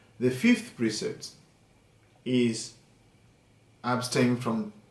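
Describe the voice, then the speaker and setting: Speaking at a very slow pace, a man with a medium pitch and a somewhat breathy voice shows ordinary pitch variation. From Uganda. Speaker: Buddhist monk and meditation teacher. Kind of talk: dharma talk.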